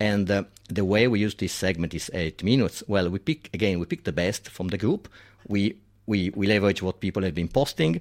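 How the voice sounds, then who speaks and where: A man speaks with an Italian accent at a fairly quick pace, his pitch fairly low. The recording is very clean, with a silent background. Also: ordinary pitch variation. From Italy. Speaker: diving community organizer. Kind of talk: radio interview.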